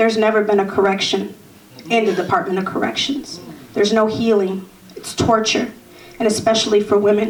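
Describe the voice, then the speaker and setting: A woman with an American accent talks at a fairly quick pace and fairly high pitch, with fairly even intonation and long, frequent pauses. Audible room echo and noticeable background noise are present. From US Midwest, Chicago South Side. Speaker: formerly incarcerated activist. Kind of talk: panel discussion testimony.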